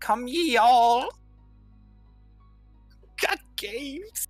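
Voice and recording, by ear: A put-on character voice with a British accent is pitched fairly high. Faint music plays in the background.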